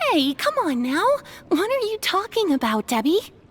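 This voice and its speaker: A squeaky, put-on character voice at an extremely high pitch moves at a moderate pace with very wide pitch swings. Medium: video game.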